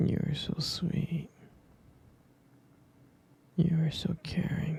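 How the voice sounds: A man whispers at a very slow pace, his voice husky and rough-edged with vocal fry.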